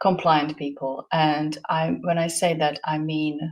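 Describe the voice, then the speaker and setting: A fairly slow pace with monotone, flat intonation and a Slovak accent. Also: woman. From Slovakia. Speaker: guest speaker. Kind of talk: casual interview chat. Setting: hotel room.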